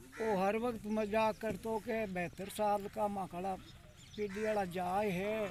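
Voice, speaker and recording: His intonation flat and monotone, a man speaks at a high pitch. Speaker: village elder. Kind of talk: speech at community gathering.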